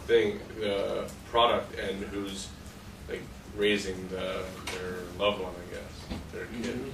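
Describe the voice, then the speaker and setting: Noticeable background noise and audible room echo fill the recording. A man speaks at a moderate pace. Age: 20s. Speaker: college student. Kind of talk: class discussion. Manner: hesitant.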